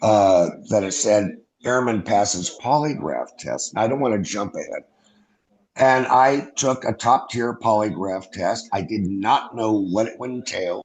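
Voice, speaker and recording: In a normal speaking voice, a man with an American accent talks at a fairly slow pace, using a medium pitch and ordinary pitch variation. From US Northeast (New York). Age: 60s. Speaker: former airman, UFO witness. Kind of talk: interview.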